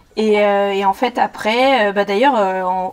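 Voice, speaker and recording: Medium-pitched female speech with ordinary pitch variation, moving at a moderate pace. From southwest France, Béarn (Pau). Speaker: history YouTuber, former teacher. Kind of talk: casual chat.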